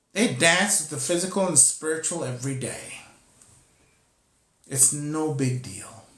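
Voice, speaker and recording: Pausing long and often, a man speaks at a fairly slow pace with a bright, sharp tone and ordinary pitch variation. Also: fairly high pitch for a man. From Costa Rica. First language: Spanish. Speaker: spiritual teacher. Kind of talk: spiritual teaching talk. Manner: halting, with repetitions.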